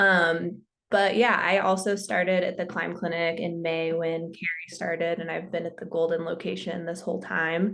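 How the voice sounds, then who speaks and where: The speech moves at a moderate pace in a flat monotone with hardly any pauses, and the room echo is audible. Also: woman, fairly low pitch for a woman. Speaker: physical therapist. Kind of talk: panel introduction.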